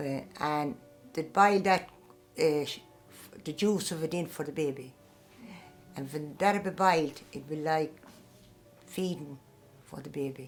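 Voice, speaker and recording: Over music in the background, a woman with a very deep, low pitch speaks at a fairly slow pace with ordinary pitch variation, big swings in loudness and long, frequent pauses. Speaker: Traveller great-grandmother. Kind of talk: interview answer.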